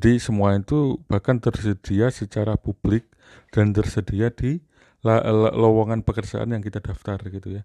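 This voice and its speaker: A man's dark, mellow tone at a fairly slow pace, fairly even intonation, dry, close sound with no echo, and a quiet background. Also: fairly low pitch for a man. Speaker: university academic. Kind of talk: casual chat.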